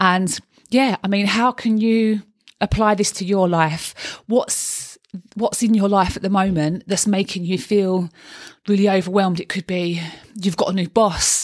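A Cockney accent at a fairly slow pace, with fairly even intonation and a dry, close sound with no echo. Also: woman, medium pitch for a woman. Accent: Cockney London. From London (East End). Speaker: life coach and podcast host. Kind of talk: solo podcast monologue. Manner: chatty, talkative.

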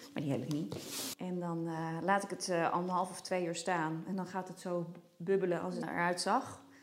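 Speech at a moderate pace with audible room echo. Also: woman, fairly low pitch for a woman. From Netherlands, Nijmegen. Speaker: home baker. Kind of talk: casual chat. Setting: kitchen at home.

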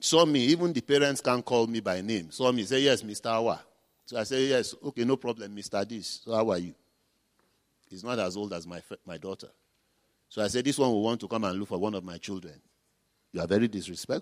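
In a very clean recording with a silent background, a man with a Nigerian accent talks at a fairly quick pace, with ordinary pitch variation. His loudness swings widely, and he leaves long, frequent pauses. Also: medium pitch for a man. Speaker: pastor. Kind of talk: sermon. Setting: church.

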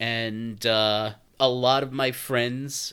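In a New York accent, a man comes through on a very clean recording with a silent background. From New York City (Brooklyn). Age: 40s. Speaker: podcast host. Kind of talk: casual monologue.

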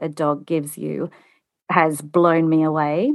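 A woman speaks with an Australian accent at a fairly low pitch in a very clean recording with a silent background. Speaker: home organizer. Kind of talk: casual interview. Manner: animated.

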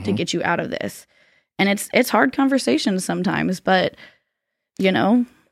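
With an American accent and vocal fry, a woman talks at medium pitch and a fairly quick pace in a very clean recording with a silent background. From Florida. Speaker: business coach. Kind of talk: casual chat.

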